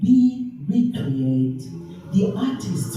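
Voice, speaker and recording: A woman speaks at a very slow pace in a playful tone. Her pitch swings very widely. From half German, half Liberian, living in the UK. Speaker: spoken word poet. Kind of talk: poetry reading. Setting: live venue, poor sound. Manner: playful, sensual, celebratory.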